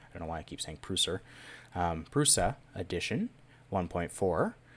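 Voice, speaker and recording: Over a silent background in a very clean recording, a man with a very deep, low pitch speaks at a moderate pace. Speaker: YouTube maker tutorial host. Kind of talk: tutorial. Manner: casual with fillers.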